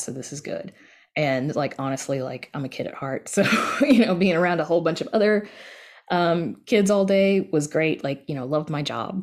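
A woman's fairly low-pitched voice with lively intonation. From US South. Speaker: audio drama podcast creator. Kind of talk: casual interview.

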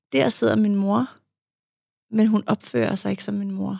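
A woman is speaking. Her pace is fairly slow. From Denmark, Farum. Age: 40s. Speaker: psychologist and author. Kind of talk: interview about personal life. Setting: studio.

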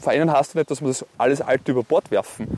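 Noticeable background noise under a fairly high-pitched man's voice, moving at a fairly quick pace. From Austria, Salzburg (Neumarkt am Wallersee). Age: 30s. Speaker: politician. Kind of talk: interview. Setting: outdoors, walk by a lake.

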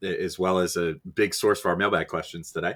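This recording is very clean, its background silent. The speaker keeps a moderate pace. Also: man. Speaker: podcast host and site editor. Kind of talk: casual podcast chat, mailbag Q&A. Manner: casual, joking, chatty.

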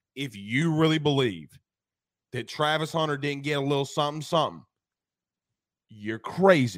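A man speaks at a moderate pace in a fairly high pitch, using ordinary pitch variation and long, frequent pauses. The recording is very clean with a silent background. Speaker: sports podcast host. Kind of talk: casual sports talk show banter. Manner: animated, joking.

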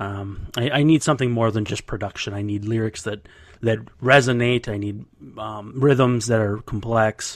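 In an ordinary speaking voice, a man keeps fairly even intonation at a moderate pace. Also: medium pitch for a man, very clean recording, silent background. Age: 30s. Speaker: baseball beat writer. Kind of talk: casual interview.

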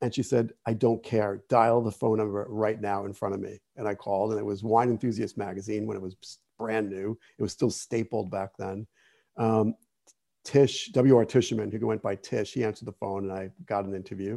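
A man with a New Jersey accent, fairly low in pitch, with a dark, mellow tone, monotone, flat intonation and a moderate pace, on a very clean recording with a silent background. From New Jersey (Jersey City). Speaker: wine writer and expert. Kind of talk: interview. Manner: halting, many fillers.

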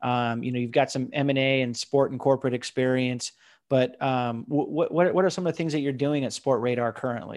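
A normal speaking voice with an American accent moves at a fairly quick pace. Its intonation is fairly even. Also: man, medium pitch for a man. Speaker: podcast host. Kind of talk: interview.

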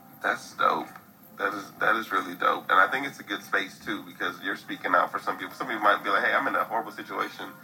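A man talks at a very fast pace in an American accent. Noticeable background noise sits behind him. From US Midwest. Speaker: podcast host. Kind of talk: casual interview.

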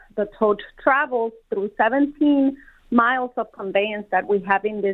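With a Spanish accent, a woman speaks at a fairly slow pace. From Colombia. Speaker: warehouse manager. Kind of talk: interview.

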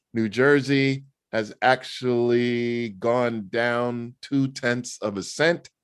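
This man speaks very slowly with a New York accent, at a medium pitch and with fairly even intonation. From New York City (Queens). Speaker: motoring organization spokesman. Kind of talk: interview.

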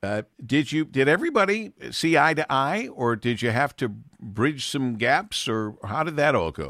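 A man speaks in a bright, sharp tone with vocal fry and very wide pitch swings. The recording is very clean, with a silent background. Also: medium pitch for a man, moderate pace. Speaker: radio show host. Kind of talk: radio interview.

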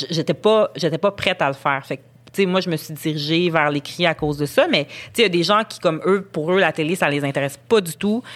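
A woman with a Quebec accent speaks at a fairly quick pace in a fairly low pitch. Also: ordinary pitch variation. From Montreal, Quebec. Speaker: journalist. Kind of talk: casual interview conversation.

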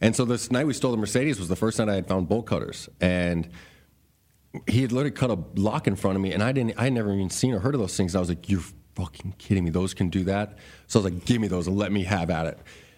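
In a very clean recording with a silent background, a man with an American accent talks very fast in a fairly low pitch with ordinary pitch variation. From Arizona, US. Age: 30s. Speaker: motivational speaker, former prisoner. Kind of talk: casual interview. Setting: studio.

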